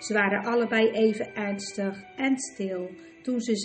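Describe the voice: The recording is plain reading aloud.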